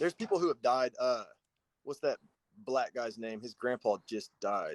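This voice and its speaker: A man with an American accent at a moderate pace, with a dry, close sound and no echo. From Oklahoma. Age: 30s. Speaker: conservative commentator. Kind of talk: casual debate.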